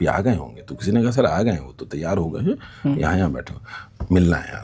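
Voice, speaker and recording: Noticeable background noise sits behind a man's very deep, low voice. His pitch swings very widely and his loudness shifts a lot. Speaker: news anchor and theatre actor. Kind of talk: interview answer. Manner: casual, conversational.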